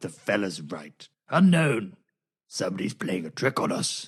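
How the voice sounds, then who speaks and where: Putting on a raspy character voice, a man speaks at a moderate pace with a fairly low pitch and very wide pitch swings. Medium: audio drama. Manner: blustering, gruff.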